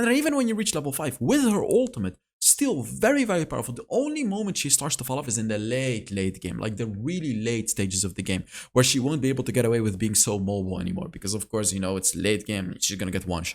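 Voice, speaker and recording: The man talks at a very fast pace. He leaves hardly any pauses. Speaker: gaming content creator. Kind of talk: tier list commentary.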